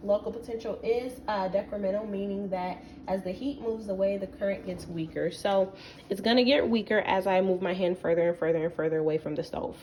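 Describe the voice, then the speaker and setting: A woman at medium pitch talking at a fairly quick pace, with noticeable background noise. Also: ordinary pitch variation. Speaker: student presenter. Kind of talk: class presentation explaining a topic. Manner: hesitant, with fillers.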